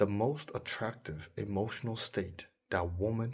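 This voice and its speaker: A man speaks at a very slow pace in a calm tone, somewhat breathy and fairly low in pitch with ordinary variation. The recording is very clean with a silent background. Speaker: dating coach. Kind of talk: monologue advice video.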